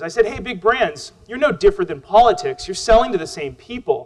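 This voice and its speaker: Very wide pitch swings mark a man's speech, delivered at a very fast pace. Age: 30s. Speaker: social media consultant and speaker. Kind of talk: keynote talk. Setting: stage with audience. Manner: loud.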